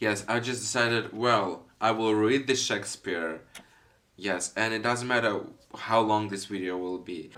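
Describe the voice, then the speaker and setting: At a fairly slow pace, a man with a non-native accent speaks in a fairly low pitch with fairly even intonation. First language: not English (non-native speaker). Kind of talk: casual intro talk to camera.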